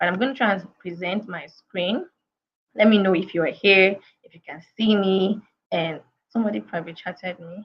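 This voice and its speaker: Her intonation is fairly even, her pitch medium, and her pace moderate. The woman's voice is somewhat breathy, with big swings in loudness. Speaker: career coach. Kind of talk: webinar talk. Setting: online video session.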